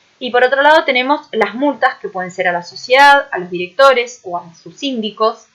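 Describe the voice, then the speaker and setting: With lively intonation and a fairly high pitch, a woman speaks at a moderate pace. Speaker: university lecturer. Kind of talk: recorded online lecture. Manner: many filler hesitations.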